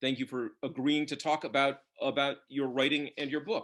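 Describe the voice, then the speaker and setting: With an American accent, a man speaks at a moderate pace and fairly high pitch in a plain, everyday voice. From US. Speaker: bookseller and interviewer. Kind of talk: author interview. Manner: formal.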